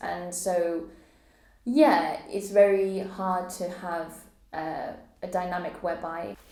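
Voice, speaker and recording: A woman's medium-pitched voice with fairly even intonation and audible room echo. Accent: English. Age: 30s. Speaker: poet and vlogger. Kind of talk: personal testimony vlog. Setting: solo camera recording.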